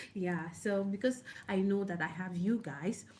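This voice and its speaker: Her voice is dark and mellow, somewhat breathy, as this woman speaks at a moderate pace with ordinary pitch variation. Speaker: online book club host. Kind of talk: casual talk to camera. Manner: halting.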